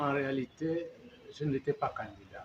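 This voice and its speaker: Somewhat breathy, a man with a fairly high pitch speaks at a very slow pace. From Gabon. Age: 70s. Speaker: opposition politician. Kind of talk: interview. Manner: halting.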